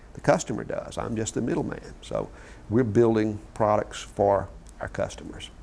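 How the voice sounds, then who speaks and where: A man with a Mississippi accent, at a moderate pace, with big swings in loudness. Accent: Mississippi Southern US. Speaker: company founder. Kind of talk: interview. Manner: hesitant, many fillers.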